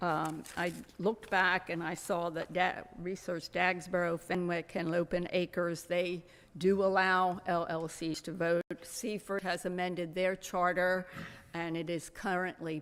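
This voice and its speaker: A woman with a fairly low pitch speaks at a fairly slow pace. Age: 80s+. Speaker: resident speaking at public comment. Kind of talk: public comment at town council meeting. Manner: halting.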